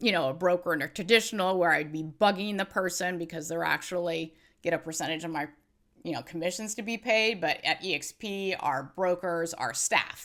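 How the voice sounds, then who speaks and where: Speaking fairly quickly, a woman with an unremarkable speaking voice and fairly low pitch shows ordinary pitch variation. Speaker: real estate agent, former attorney. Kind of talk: interview.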